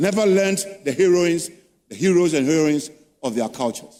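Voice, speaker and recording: A man speaks here. There is audible echo from the room. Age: 70s. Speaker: professor. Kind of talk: lecture.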